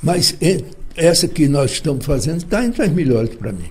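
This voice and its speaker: Here a man talks at a fairly slow pace. His pitch is high, with a dark, mellow tone. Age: 80s+. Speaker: journalist and lawyer. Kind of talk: interview. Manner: halting.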